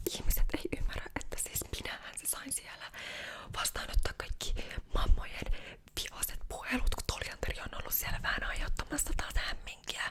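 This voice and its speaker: A woman whispers, her loudness swinging widely. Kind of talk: ASMR roleplay, casual chatty hairdresser talk. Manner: chatty, gossipy, casual.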